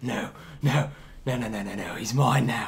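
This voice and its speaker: A man mumbles in a put-on character voice. His voice is raspy, with a medium pitch. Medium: actual play. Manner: mumbling to himself, laughs maniacally.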